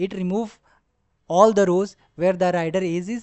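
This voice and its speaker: This speaker talks at a fairly slow pace with a non-native accent. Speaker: data science tutor. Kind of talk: tutorial. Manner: halting, with fillers.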